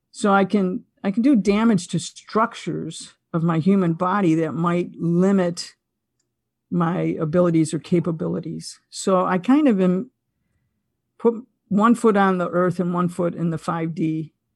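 With a plain, everyday voice and an American accent, a woman speaks at a fairly slow pace and fairly low pitch, with ordinary pitch variation against a quiet background. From Buffalo, New York, US. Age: 60s. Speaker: consciousness podcaster and former wellness teacher. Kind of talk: casual interview conversation.

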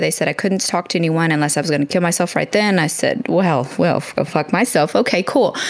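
At a fairly quick pace, a woman speaks in an ordinary speaking voice with a fairly low pitch and ordinary pitch variation. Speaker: military veteran and author. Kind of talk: interview.

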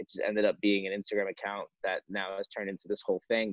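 Using an unremarkable speaking voice, a man talks at a fairly quick pace and fairly low pitch with fairly even intonation. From Long Island, New York. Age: 20s. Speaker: apparel brand founder. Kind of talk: casual chat.

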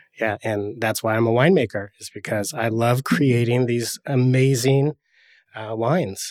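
A man with an American accent in a normal speaking voice, medium pitch, ordinary pitch variation and moderate pace, on a very clean, dry, close recording with a silent background and no echo. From US Northwest, Oregon. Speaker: winemaker. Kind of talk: casual chat. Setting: studio.

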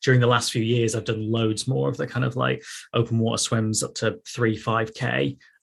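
A man with a Mancunian accent at medium pitch, speaking at a fairly quick pace over a quiet background. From northern England, Manchester. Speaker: sports journalist and masters swimmer. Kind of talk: casual interview.

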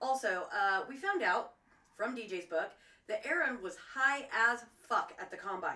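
An American-accented woman speaks at a fairly slow pace and fairly high pitch, with very wide pitch swings and big swings in loudness. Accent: Southern twang, stronger after visiting home. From US South, Florida. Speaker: true crime podcast co-host. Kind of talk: casual chat.

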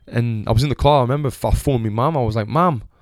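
With a Sunderland accent, a man speaks at a medium pitch on a very clean recording with a silent background. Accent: Sunderland (Mackem). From northern England, Sunderland. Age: 20s. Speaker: podcast host, former boxer and gym owner. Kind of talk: casual monologue. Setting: home recording. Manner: animated.

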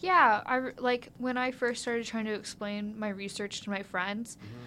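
In a Midwestern American accent, a woman speaks at a medium pitch with ordinary pitch variation and a bright, sharp tone. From US Midwest (rural Ohio). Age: 20s. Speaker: undergraduate student researcher. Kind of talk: interview. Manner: animated.

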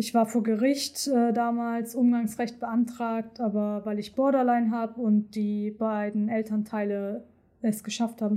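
A woman speaks fairly slowly in a flat monotone, her fairly high voice somewhat breathy with a dark, mellow tone, on a very clean recording with a silent background. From Hamburg, northern Germany, partly raised in Turkey. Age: 20s. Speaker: medical assistant. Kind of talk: personal testimony interview.

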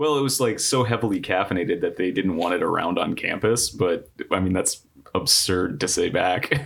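A normal speaking voice moves at a moderate pace with lively intonation and very even loudness. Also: man, fairly low pitch for a man. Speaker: producer. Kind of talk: casual comedy podcast banter.

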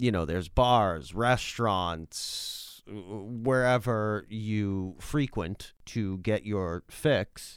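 Over a silent background in a very clean recording, a man with an American accent talks very slowly at a fairly low pitch with lively intonation. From Massachusetts. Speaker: podcast co-host, recovering alcoholic. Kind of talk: casual chat; show outro announcement. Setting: home studio.

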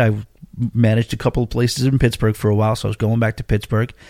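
Spoken with an American accent, the clip is a very clean recording with a silent background and a dry, close sound with no echo. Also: man. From Long Island, New York. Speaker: cruise podcast host. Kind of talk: casual monologue.

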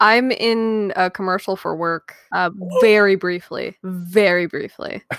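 A woman's unremarkable speaking voice, medium in pitch, with fairly even intonation, a fairly slow pace and a dry, close sound free of echo. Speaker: podcast co-host. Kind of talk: casual banter.

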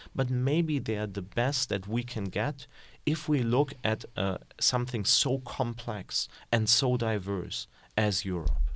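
Speaking at a fairly slow pace in a German accent, a man with a medium pitch and ordinary pitch variation comes through on a very clean recording with a silent background. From Germany. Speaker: political economy researcher. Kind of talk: interview. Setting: studio.

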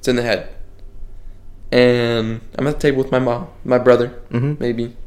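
A man at medium pitch and a moderate pace, with fairly even intonation and long, frequent pauses. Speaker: podcast host. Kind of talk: casual chat.

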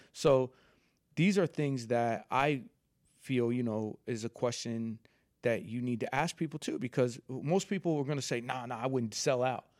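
The speaker has a normal speaking voice at a moderate pace. The recording is very clean, with a silent background. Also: man, medium pitch for a man, ordinary pitch variation. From Philadelphia area (Villanova), moved from New York at eleven. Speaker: fashion entrepreneur. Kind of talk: casual chat.

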